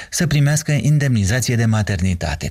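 A man with a medium pitch and a somewhat breathy voice talks at a fairly quick pace with lively intonation. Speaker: radio news host. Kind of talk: news reading. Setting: studio.

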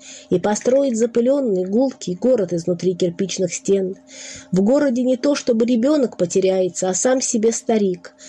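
Noticeable background noise is present throughout. The pace is moderate, with ordinary pitch variation. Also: woman, fairly high pitch for a woman. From Russia, Nizhny Novgorod. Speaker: poet. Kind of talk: poetry reading.

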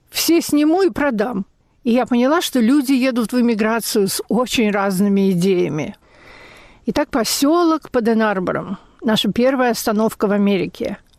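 At a moderate pace, a woman with a fairly high pitch and an unremarkable speaking voice uses lively intonation and very even loudness. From Russia, Leningrad. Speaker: memoirist. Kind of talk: reading aloud.

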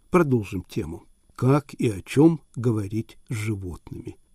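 Over a silent background in a very clean recording, a man talks at a very slow pace in a dark, mellow, somewhat breathy voice with lively intonation and a dry, close sound with no echo. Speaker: radio podcast host. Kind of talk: podcast narration and interviewing. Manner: formal.

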